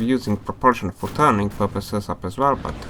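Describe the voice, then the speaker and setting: A man with a non-native accent talks at a fairly quick pace with ordinary pitch variation. Noticeable background noise can be heard. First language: not English. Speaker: gaming YouTuber. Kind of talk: gameplay commentary. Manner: casual, hesitant with fillers.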